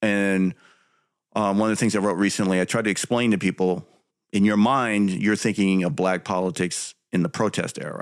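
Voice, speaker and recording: A man with an American accent uses a plain, everyday voice with a fairly low pitch at a moderate pace. The recording is very clean with a silent background. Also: ordinary pitch variation. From US West Coast. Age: 50s. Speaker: writer and commentator. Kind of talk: interview.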